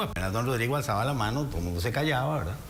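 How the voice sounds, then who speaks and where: With very wide pitch swings, a man talks amid audible room echo and noticeable background noise. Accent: Costa Rican. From Costa Rica. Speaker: lawyer and former justice minister. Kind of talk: political interview.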